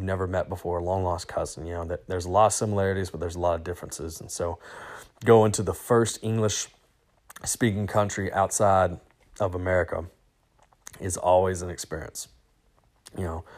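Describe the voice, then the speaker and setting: A man's very deep, low voice in a Southern US accent, fairly quick, with fairly even intonation. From US South, small-town Arkansas. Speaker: podcast host, teacher and football coach. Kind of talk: solo travel podcast monologue. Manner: casual, many fillers and restarts.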